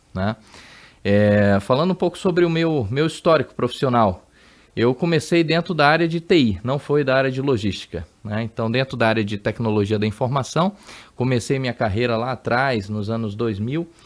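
A man's unremarkable speaking voice, medium in pitch, with lively intonation. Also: moderate pace. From Brazil, Amazonas. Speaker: logistics executive. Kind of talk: interview.

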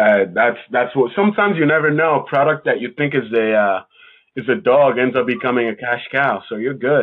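A man with an ordinary speaking voice talks at a fairly quick pace, with medium pitch and lively intonation. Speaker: podcast host. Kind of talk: casual interview chat.

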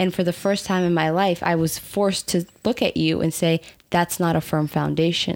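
At a moderate pace, a woman talks in a fairly low pitch with monotone, flat intonation. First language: not English. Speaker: podcast co-host. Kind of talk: casual chat.

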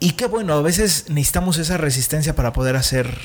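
This man has a normal speaking voice at a fairly high pitch. He talks at a moderate pace. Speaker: podcast host. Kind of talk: casual interview. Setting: studio.

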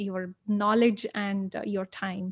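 Against a quiet background, a woman speaks slowly at a medium pitch, the sound dry and close with no echo. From India. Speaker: podcast host. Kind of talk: casual interview. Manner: halting.

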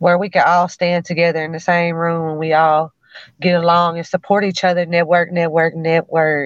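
A woman speaks in a Memphis accent. Her pitch sits fairly low. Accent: Memphis Southern US. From US South, Memphis. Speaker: rapper. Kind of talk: casual interview.

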